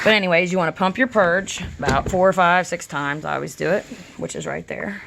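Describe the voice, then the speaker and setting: A woman speaks at a moderate pace with an American accent. Her pitch is fairly low with ordinary variation, and her loudness swings widely. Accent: country twang. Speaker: DIY video creator. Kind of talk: tutorial. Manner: casual, filler-heavy.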